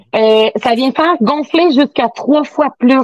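A woman with a Quebec accent speaks at a high pitch with lively intonation in a dry, close sound with no echo. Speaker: sex toy sales consultant. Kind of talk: casual chat.

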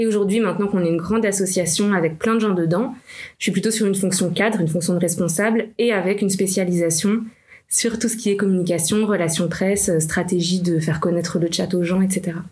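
Somewhat breathy and fairly quick, a woman speaks at a medium pitch with very even loudness and fairly even intonation, while audible room echo fills the space. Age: 30s. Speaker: nonprofit manager. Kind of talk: interview.

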